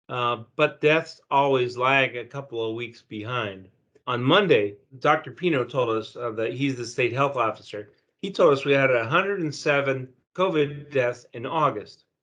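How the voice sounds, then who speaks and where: Bright and sharp in tone, a man speaks at medium pitch and moderate pace with ordinary pitch variation. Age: 60s. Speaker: newspaper reporter. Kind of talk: news discussion.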